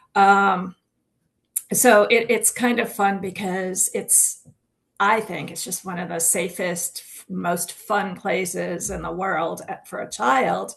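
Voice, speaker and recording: Speaking very slowly with vocal fry, a woman at a medium pitch keeps her intonation fairly even while her loudness swings widely. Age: 60s. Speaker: author and writing coach. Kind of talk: casual chat.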